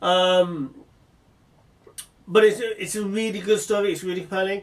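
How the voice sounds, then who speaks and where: A man speaks with an English accent. His pitch is high. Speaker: vlogger. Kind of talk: casual monologue. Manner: fast when excited; hesitant, many fillers.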